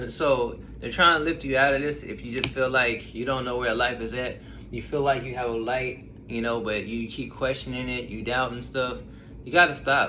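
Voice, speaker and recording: Audible room echo and noticeable background noise surround a man whose intonation stays fairly even. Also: medium pitch for a man. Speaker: tarot reader. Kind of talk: tarot reading to camera. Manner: fast; casual, blunt.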